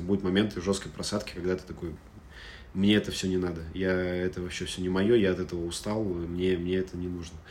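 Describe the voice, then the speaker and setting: A man's very deep, low voice, monotone and flat, at a very fast pace. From Russia, Moscow. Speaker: startup data executive. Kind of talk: interview.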